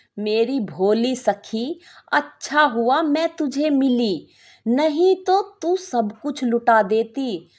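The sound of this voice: Using a put-on character voice, a woman speaks slowly at a high pitch with lively intonation.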